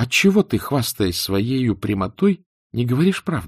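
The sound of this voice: In a very clean recording with a silent background, a man uses a put-on character voice with a slightly husky edge, big pitch swings and a fairly slow pace. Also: medium pitch for a man.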